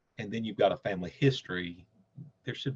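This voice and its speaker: The speaker is a man. He has a Southern US accent. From Nashville, Tennessee. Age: 60s. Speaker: cancer patient. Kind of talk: interview.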